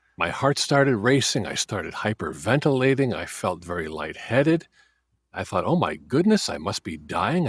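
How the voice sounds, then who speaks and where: With vocal fry and very wide pitch swings, a man speaks at a medium pitch and moderate pace in a very clean recording with a silent background. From US Midwest, Chicago area. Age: 40s. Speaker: interviewee sharing mental health experience. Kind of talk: interview testimony.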